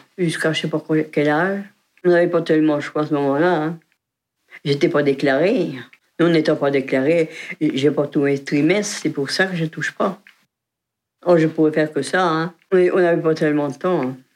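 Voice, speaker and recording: This woman's voice is very deep and low in pitch. She talks at a moderate pace with long, frequent pauses. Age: 80s+. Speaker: retired farm worker, nursing home resident. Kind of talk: oral history interview. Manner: halting.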